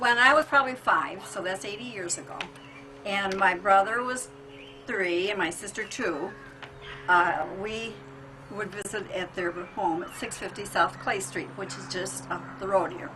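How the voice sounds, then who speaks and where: With music in the background, the speech moves at a fairly slow pace, with lively intonation, big swings in loudness and long, frequent pauses. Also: woman, medium pitch for a woman. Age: 80s+. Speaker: interviewee, family elder. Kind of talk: reminiscing interview. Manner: halting.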